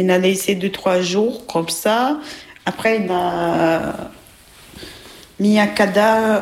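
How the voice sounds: In a room with audible echo, a woman speaks slowly at a medium pitch with ordinary pitch variation.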